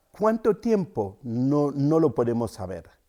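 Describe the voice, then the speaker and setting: Very wide pitch swings from a man with a Cameroonian accent and a dark, mellow tone, at a fairly slow pace, in a very clean, dry, close recording with a silent background and no echo. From Cameroon, rural centre. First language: Yambasa (speaking Spanish). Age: 50s. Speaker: storyteller and writer. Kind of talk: interview. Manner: hesitant, with fillers.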